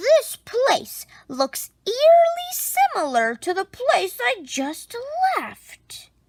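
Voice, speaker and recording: A put-on character voice from a woman, extremely high in pitch, with very wide pitch swings and a very slow pace. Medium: read story. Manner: grandiose, adventurous.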